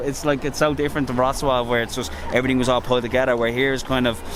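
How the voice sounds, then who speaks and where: Noticeable background noise sits behind this recording. A man with an Irish accent speaks at a very fast pace. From Ireland. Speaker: travel vlogger. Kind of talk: casual chat.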